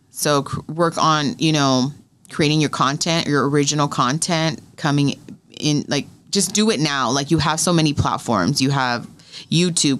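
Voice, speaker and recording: A woman's very deep, low-pitched voice. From US West Coast (California). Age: 30s. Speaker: radio host; interview guest. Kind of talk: casual interview. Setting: studio. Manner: animated. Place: studio. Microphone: studio mic.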